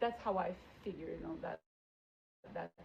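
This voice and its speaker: A somewhat breathy woman's voice at medium pitch. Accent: non-native. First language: not English. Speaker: teacher. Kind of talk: interview. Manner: animated; hesitant fillers.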